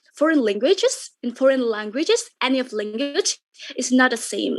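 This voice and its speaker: Using lively intonation, a woman with an Indonesian accent speaks at a moderate pace in a high pitch. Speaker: content creator. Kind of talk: webinar talk. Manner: halting.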